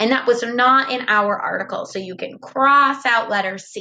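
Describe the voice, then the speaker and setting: Speaking at a moderate pace, a woman has a high pitch, a bright, sharp tone, and ordinary pitch variation. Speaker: first grade teacher. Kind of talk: tutorial. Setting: recorded video lesson. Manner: clear, instructive tone for young children.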